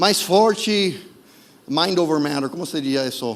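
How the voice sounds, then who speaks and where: Noticeable background noise and audible room echo surround a man speaking with a non-native accent. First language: not Portuguese (speaking Portuguese). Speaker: preacher. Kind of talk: sermon. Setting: church service streamed online. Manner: halting, self-correcting.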